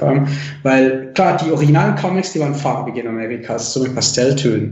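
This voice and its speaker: A man's fairly high voice with ordinary pitch variation, a moderate pace, audible room echo and noticeable background noise. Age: 30s. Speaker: comic artist. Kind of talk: casual interview chat. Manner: hesitant, many fillers.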